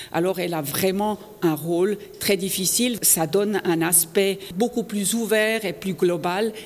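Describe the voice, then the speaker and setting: Over noticeable background noise, a woman in a German accent speaks at a fairly slow pace with a medium pitch and ordinary pitch variation. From Switzerland, canton of Fribourg. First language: German (speaking French). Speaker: politician. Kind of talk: interview. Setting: parliament building.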